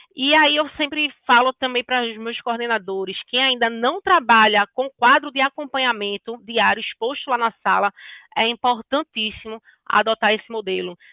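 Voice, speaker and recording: A woman's high voice carries ordinary pitch variation as she speaks at a moderate pace. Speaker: sales consultant. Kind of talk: business training talk.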